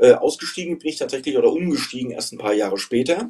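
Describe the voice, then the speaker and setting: A man is speaking. His pace is fairly quick. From Hesse, Germany (Frankfurt area). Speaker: outdoor tour guide. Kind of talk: casual interview. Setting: remote call from Thailand.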